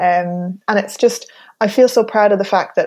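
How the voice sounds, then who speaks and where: With a western Irish accent, a woman speaks at a moderate pace in a dark, mellow tone against a quiet background. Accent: rural western Irish. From Ireland, County Mayo. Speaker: relationship coach. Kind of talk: casual chat. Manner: halting.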